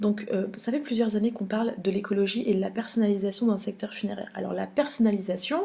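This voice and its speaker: Fairly quick, somewhat breathy speech from a woman with a fairly high pitch, a dark, mellow tone and ordinary pitch variation. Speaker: funeral industry news editor. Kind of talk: trade show recap vlog. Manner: fast; hesitant, many filler sounds.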